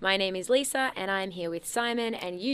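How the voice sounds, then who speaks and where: Someone with an Australian accent is heard in a very clean recording over a silent background. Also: woman. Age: 20s. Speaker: radio host. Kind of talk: casual chat. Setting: studio.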